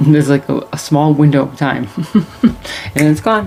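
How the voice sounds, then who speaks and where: A soft-spoken woman with a very deep, low pitch talks at a moderate pace against noticeable background noise. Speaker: tarot reader. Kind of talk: casual chat. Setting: home at night, on camera. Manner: loud when animated, otherwise quiet; soft-spoken late at night.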